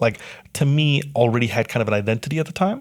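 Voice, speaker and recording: In an ordinary speaking voice, the speaker goes at a fairly quick pace with ordinary pitch variation. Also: man. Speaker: podcast host and music producer. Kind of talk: casual chat. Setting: on the road in Edmonton.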